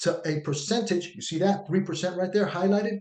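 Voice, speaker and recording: The man's dark, mellow tone comes with ordinary pitch variation. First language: not English. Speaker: union activist and video show host. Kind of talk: presentation with screen share. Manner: animated.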